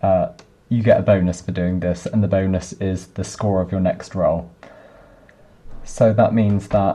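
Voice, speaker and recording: A quiet man with a very deep, low pitch talks at a fairly slow pace in a monotone, flat intonation, with long, frequent pauses. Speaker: software developer. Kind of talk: coding tutorial screencast. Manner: monotonous; quiet, low volume.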